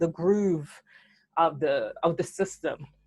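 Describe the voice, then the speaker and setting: Very slowly, a woman speaks at a fairly low pitch with ordinary pitch variation on a very clean recording with a silent background. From Italy, Ghanaian-Italian household. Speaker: interviewee sharing personal heritage. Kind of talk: casual interview chat.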